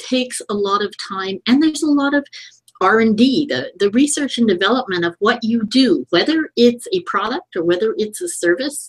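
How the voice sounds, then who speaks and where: Lively intonation marks a woman's fairly high voice. She uses an ordinary speaking voice. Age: 60s. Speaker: digital strategist. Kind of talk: interview.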